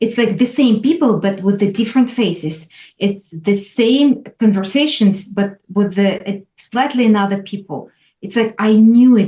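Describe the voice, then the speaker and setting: A woman with a Russian accent speaks in a dark, mellow tone that is somewhat breathy. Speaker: former corporate lawyer. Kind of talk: interview answer.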